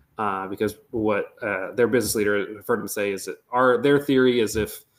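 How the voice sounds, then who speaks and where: A man with an American accent, medium in pitch, very fast, with fairly even intonation, in a very clean recording with a silent background. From Northern Michigan. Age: 20s. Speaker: economic development manager. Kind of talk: podcast interview. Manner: casual, with many fillers.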